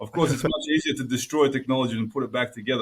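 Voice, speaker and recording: Fairly even intonation runs through this man's medium-pitched speech. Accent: Australian. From Australia. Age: 30s. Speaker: engineer and academic. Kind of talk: podcast interview.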